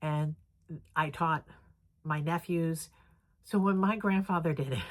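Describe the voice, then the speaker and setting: A woman with a normal speaking voice talks fairly slowly, her fairly low pitch showing ordinary variation. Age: 60s. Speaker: crafting vlogger. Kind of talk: casual vlog chat. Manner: casual, filler-heavy.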